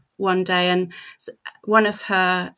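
A woman with a British accent speaks in a flat monotone with a bright, sharp tone. The recording is very clean, and the background is silent. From Britain. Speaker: writer and writing coach. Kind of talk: casual chat.

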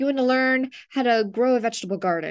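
Talking at a very fast pace, a woman has a high pitch and lively intonation. Her tone is upbeat and energetic, against a quiet background. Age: 30s. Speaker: health coach and podcast host. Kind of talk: solo motivational podcast monologue. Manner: upbeat, energetic.

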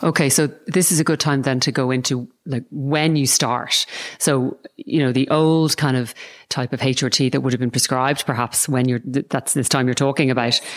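With an Irish accent, a woman talks at a moderate pace in a very deep, low voice, her intonation fairly even and her loudness very even. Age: 40s. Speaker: podcast host and Pilates teacher. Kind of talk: interview conversation.

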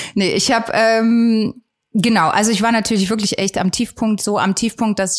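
A woman at a fairly quick pace, medium in pitch, in a normal speaking voice. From Saxony, Germany (Geithain near Leipzig). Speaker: singer-songwriter. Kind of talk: casual interview.

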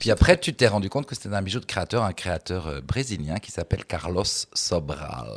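With lively intonation and vocal fry, a man speaks at a very deep, low pitch on a very clean recording with a silent background. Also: moderate pace. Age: 50s. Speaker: drag performer. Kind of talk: casual chat. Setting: stage with audience.

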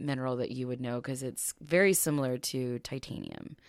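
A woman with an American accent speaks at a moderate pace in a very deep, low pitch. The recording is very clean, with a silent background and a dry, close sound with no echo. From small-town US. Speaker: podcast co-host. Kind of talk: storytelling.

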